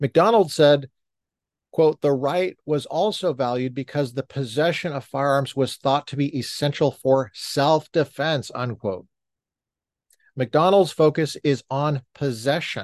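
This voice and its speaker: In a dry, close recording with no echo and a quiet background, a man with a fairly high pitch speaks fairly slowly in an angry tone with ordinary pitch variation. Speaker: podcast host reading court opinion aloud. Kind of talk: reading aloud. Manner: sounds angry while reading.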